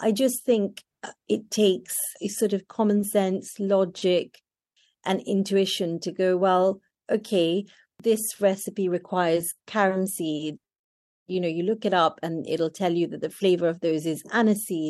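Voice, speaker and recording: Against a quiet background, a woman with a British accent speaks at a fairly slow pace, medium in pitch, with fairly even intonation. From Kenya, then London. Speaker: chef. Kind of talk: interview.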